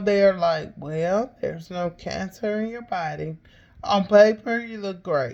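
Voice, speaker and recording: A woman at a medium pitch with an Alabama accent, very slow in pace, with ordinary pitch variation. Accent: Southern US (Alabama). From Alabama, US South. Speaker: podcaster, cancer patient. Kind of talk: personal testimony. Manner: halting, with fillers.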